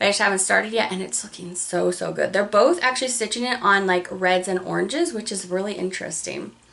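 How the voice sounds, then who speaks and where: Medium-pitched speech from a woman with ordinary pitch variation, over noticeable background noise. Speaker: cross-stitch video creator. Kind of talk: casual chat. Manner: fast; animated.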